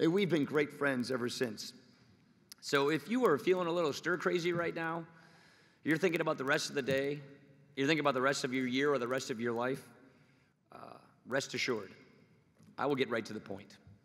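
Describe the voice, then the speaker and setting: A man speaks at a fairly quick clip in a fairly high voice, with ordinary rise and fall in pitch. His talk breaks up with long pauses that come often. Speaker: politician. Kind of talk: commencement speech. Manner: humorous, conversational.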